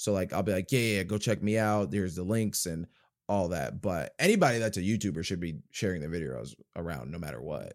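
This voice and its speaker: Vocal fry, lively intonation and a fairly quick pace on a very clean recording with a silent background. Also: man, very deep, low pitch for a man. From US, New Jersey and various states. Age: 20s. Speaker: YouTuber and actor. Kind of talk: casual interview chat.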